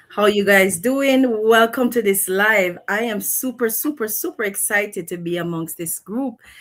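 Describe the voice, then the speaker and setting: A woman speaks with a Jamaican accent at a fairly slow pace. Her pitch is fairly high, with ordinary pitch variation. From Montego Bay, Jamaica. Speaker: online business owner. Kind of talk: live stream introduction.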